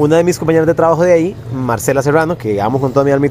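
There is noticeable background noise. Over it, a man speaks very fast. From Costa Rica, Puriscal. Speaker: magician and former TV film presenter. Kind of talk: casual interview chat.

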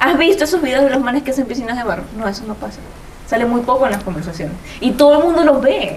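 The speech comes at a very fast pace with very wide pitch swings. Audible room echo and noticeable background noise are present. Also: woman, high pitch for a woman. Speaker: podcast host. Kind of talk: casual chat.

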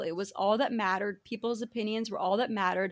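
A woman's normal speaking voice, fairly high-pitched and fairly quick. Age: 30s. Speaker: podcast host. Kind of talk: casual interview.

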